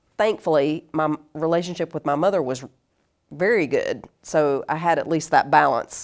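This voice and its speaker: A woman speaks in a Southern US accent with a very deep, low pitch and ordinary pitch variation. Her pace is moderate, and the recording is very clean, with a silent background. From US South, North Carolina. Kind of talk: casual interview chat. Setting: in person, in studio.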